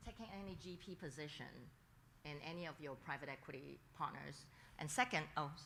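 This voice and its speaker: Vocal fry and a bright, sharp tone come through at a fairly quick pace, with big swings in loudness and audible room echo. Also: woman, very deep, low pitch for a woman, ordinary pitch variation. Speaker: audience member asking questions. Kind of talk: audience question at conference.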